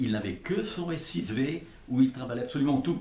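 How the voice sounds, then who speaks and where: Pitch swings very widely as the speaker goes at a moderate pace, with audible room echo around the voice. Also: man. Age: 80s+. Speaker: retired factory design engineer. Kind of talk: casual interview. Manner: halting, repetitive.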